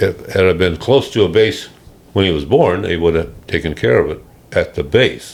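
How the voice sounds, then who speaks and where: A man with an American accent talks at a fairly quick pace, his voice showing vocal fry. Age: 80s+. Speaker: retired air force pilot, war veteran. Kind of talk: interview answer, personal reminiscence.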